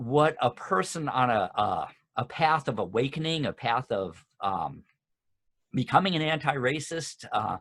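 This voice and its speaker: A man with an American accent talks at a fairly slow pace, with long, frequent pauses. His fairly high voice has lively intonation. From US Midwest, Chicago suburbs. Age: 60s. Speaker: discussion group leader. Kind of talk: book discussion talk.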